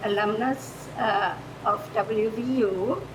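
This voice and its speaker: Over noticeable background noise and audible room echo, a woman with a German accent speaks with ordinary pitch variation. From Germany. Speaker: retired foreign language teacher. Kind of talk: improvised public comment.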